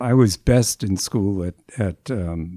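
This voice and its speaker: A man with an American accent speaks with a very deep, low pitch and a dark, mellow tone, in a very clean recording with a silent background and a dry, close sound with no echo. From US Northeast, Boston area. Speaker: geneticist, professor emeritus. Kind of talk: interview, personal recollection. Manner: halting, many fillers.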